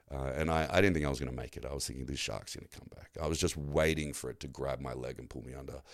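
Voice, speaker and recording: Speaking very fast with an Australian accent, a man with a very deep, low voice and vocal fry uses ordinary pitch variation on a very clean recording with a silent background. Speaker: shark attack survivor and navy veteran. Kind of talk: casual chat.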